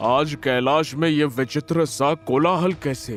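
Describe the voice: A man performs a cartoonish character voice at a fairly slow pace. Faint music plays behind him.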